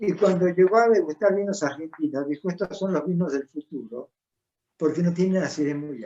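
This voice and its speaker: A man's high voice comes at a fairly quick pace, its pitch varying in an ordinary way. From Argentina. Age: 80s+. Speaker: winemaker. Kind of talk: interview.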